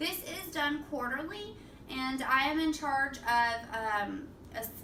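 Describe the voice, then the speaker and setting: A woman's high-pitched voice with noticeable background noise and audible room echo. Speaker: apartment assistant manager. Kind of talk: self-presentation video for award nomination. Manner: monotone.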